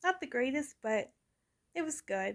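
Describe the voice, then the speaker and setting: A woman speaks at a fairly slow pace. Her intonation is lively. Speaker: YouTuber. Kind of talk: casual video monologue, movie review. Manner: stutter; halting, repeats words.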